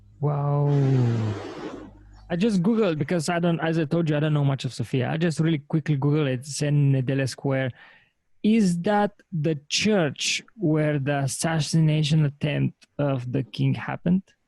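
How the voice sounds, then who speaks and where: A man's somewhat breathy voice at a moderate pace, with ordinary pitch variation, very even loudness and a very clean recording against a silent background. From Bulgaria. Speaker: podcast host. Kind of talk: podcast interview questions.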